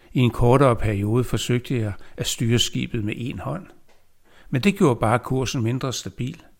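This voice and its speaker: On a very clean recording with a silent background, a man with a medium-pitched, somewhat breathy voice talks at a moderate pace with ordinary pitch variation. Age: 70s. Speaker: poet. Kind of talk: reading aloud.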